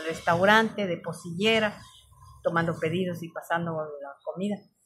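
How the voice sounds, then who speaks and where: Over noticeable background noise, a woman talks at a fairly slow pace in a fairly low pitch with ordinary pitch variation. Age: 60s. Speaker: storyteller. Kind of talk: personal testimony. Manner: halting.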